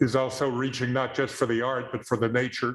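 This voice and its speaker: A man with a Texas accent speaks at a medium pitch. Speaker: public commenter at town meeting. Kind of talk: public comment at council meeting. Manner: halting, many fillers.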